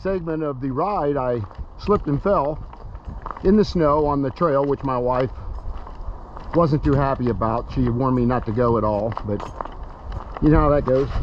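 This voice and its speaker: A man with an American accent, relaxed in tone, with long, frequent pauses and noticeable background noise. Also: fairly high pitch for a man, ordinary pitch variation, moderate pace. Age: 70s. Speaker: retiree vlogger. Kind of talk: casual vlog narration. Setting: outdoors on a hiking trail. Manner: relaxed, halting with fillers.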